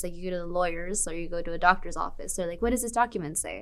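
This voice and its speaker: Recorded very cleanly against a silent background, a woman speaks at a medium pitch with vocal fry. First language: Spanish. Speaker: university student. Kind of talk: interview testimony. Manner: casual, filler-heavy.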